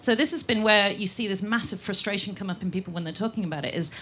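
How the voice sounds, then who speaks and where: Over noticeable background noise, a woman with a medium pitch speaks at a very fast pace with ordinary pitch variation. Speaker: columnist and film writer. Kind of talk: panel discussion.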